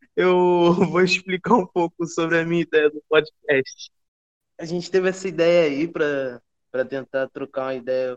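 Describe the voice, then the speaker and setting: Here a man talks at a fairly slow pace with ordinary pitch variation, an unremarkable speaking voice. The sound is dry and close, with no echo. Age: 20s. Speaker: podcast co-host, university student. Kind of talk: casual chat.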